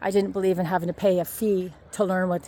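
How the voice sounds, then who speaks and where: A woman with a Canadian accent speaks at a very fast pace. Her fairly low voice has a dark, mellow tone. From Ontario, Canada. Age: 60s. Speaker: vlogger promoting online courses. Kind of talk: casual walking vlog. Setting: outdoors on a walk.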